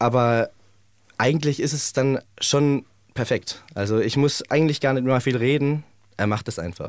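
A man talks at a moderate pace with ordinary pitch variation, in a normal speaking voice. The recording is very clean, with a silent background. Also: medium pitch for a man. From Germany, Heidelberg. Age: 20s. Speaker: singer in a band. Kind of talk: radio interview.

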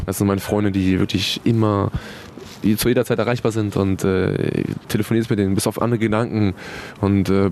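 Over noticeable background noise, a man talks in a fairly low, monotone voice with flat intonation and very even loudness. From Hannover area, northern Germany. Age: 20s. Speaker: professional footballer. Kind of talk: interview.

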